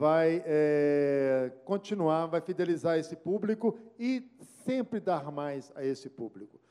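A man talks fairly slowly in a fairly high pitch, with ordinary pitch variation and noticeable noise in the background. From Belo Horizonte, Minas Gerais, Brazil. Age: 60s. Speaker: radio journalist and news director. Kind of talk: lecture.

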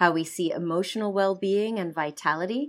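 On a very clean recording with a silent background, a woman with an American accent uses an unremarkable speaking voice, medium pitch and ordinary pitch variation. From United States. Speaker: medical doctor and author. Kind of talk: interview.

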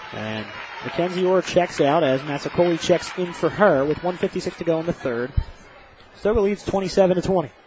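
Pitched high, the man talks at a moderate pace and varies his pitch in an ordinary way, all over noticeable background noise. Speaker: radio play-by-play announcer. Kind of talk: live sports commentary. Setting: radio broadcast from gym. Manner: steady, even, focused on the action.

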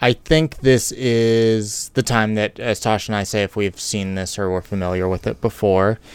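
This man has an unremarkable speaking voice, fairly low in pitch, with fairly even intonation. He keeps a moderate pace with hardly any pauses. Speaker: podcast co-host. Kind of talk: casual chat. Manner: playful, jokey.

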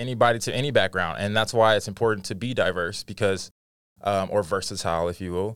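A man's fairly low voice with an American accent, at a very fast pace, in a very clean recording with a silent background. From Dallas, Texas. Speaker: podcast host and diversity consultant. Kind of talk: casual chat. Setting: studio. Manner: animated.

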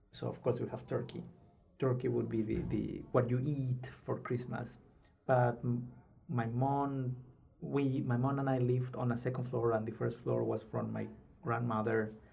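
In a Spanish accent, a man with a medium pitch speaks at a moderate pace in a monotone, flat way, his dark, mellow tone somewhat breathy and carrying audible room echo. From Peru, Lima. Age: 30s. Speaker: PhD student. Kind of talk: casual interview. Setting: studio.

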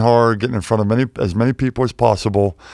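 A man with an American accent and a plain, everyday voice speaks at a medium pitch with fairly even intonation, in a dry, close sound with no echo on a very clean recording with a silent background. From Pittsburgh, Pennsylvania. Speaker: wealth manager, former pro basketball player. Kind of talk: casual interview. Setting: studio.

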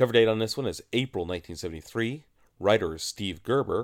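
A man speaks in a plain, everyday voice. His pitch is fairly low, and his intonation is lively. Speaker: podcast co-host. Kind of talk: casual banter between co-hosts discussing comics. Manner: jokey, wisecracking.

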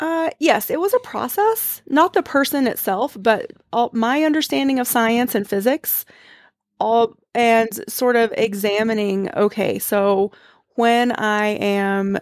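Recorded with a dry, close sound and no echo on a very clean recording with a silent background, a woman with an American accent uses an ordinary speaking voice at a fairly high pitch, with ordinary pitch variation and a fairly slow pace. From US South, East Tennessee. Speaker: clinical pharmacist and energy healer. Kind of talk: interview.

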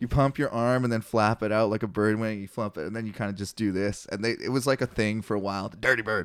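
Over a very clean recording with a silent background, a man talks at a very fast pace in a fairly low pitch with fairly even intonation. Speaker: podcast host reading and discussing the Bible. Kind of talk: casual chat.

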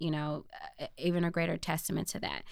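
This woman has a fairly low pitch and speaks with an American accent. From US Midwest, Chicago South Side. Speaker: political candidate. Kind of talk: interview.

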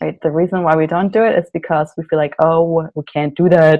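With a German accent, a woman speaks at a moderate pace in a fairly low pitch, her tone dark and mellow. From Germany. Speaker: naturopathic doctor and psychotherapist. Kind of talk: interview.

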